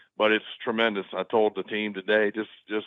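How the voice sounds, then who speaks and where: A man at a moderate pace. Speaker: college gymnastics head coach. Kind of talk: podcast interview. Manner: repetitive, stumbling over words.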